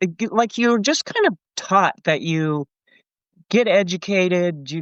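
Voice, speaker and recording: A woman speaks with an American accent at a moderate pace. Hers is a plain, everyday voice with ordinary pitch variation. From Colorado, US. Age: 60s. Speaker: retiree and thru-hiker. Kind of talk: casual interview chat.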